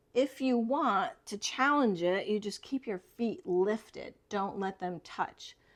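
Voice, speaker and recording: An ordinary speaking voice: a woman's fairly high pitch, lively intonation and a fairly slow pace. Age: 60s. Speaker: yoga instructor. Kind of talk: tutorial. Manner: calm, instructive.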